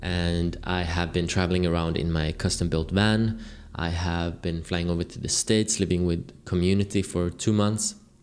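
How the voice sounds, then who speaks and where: In a very deep, low pitch, a man speaks at a moderate pace with monotone, flat intonation. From Sweden. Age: 20s. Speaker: content creator. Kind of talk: unscripted video log monologue. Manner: casual, rambling with self-corrections.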